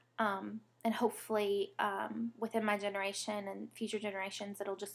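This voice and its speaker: In a Southern US accent, a woman talks at a moderate pace with a medium pitch and monotone, flat intonation. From US South (Alabama, born Mississippi). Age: 20s. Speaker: vlogger, patient advocate. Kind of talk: personal testimony vlog. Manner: rambling, hesitant with many fillers.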